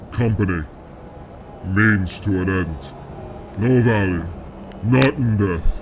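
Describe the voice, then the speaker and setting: A man uses a booming, put-on character voice with a fairly low pitch, speaking fairly slowly with long, frequent pauses. Clear background noise is present. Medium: read story. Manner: terse, broken phrasing.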